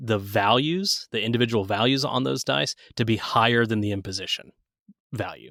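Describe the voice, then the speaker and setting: Lively intonation marks a man's speech, recorded very cleanly against a silent background with a dry, close sound and no echo. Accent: Southern US. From US Southeast. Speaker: game designer. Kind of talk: tabletop game rules explanation. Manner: hesitant, many filler words.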